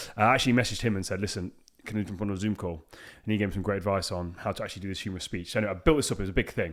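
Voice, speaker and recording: In a very clean recording with a silent background, a man talks at a very fast pace with a fairly low pitch and fairly even intonation. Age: 30s. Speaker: podcast host and coach. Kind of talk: casual chat. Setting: in-person podcast studio.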